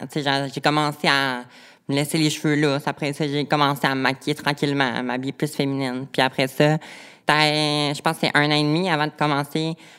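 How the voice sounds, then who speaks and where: A woman with a Saguenay–Lac-Saint-Jean accent and a very deep, low pitch speaks in monotone, flat intonation at a moderate pace on a very clean recording with a silent background. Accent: Quebec French (Saguenay–Lac-Saint-Jean). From Quebec, Lac-Saint-Jean. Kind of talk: personal testimony in interview.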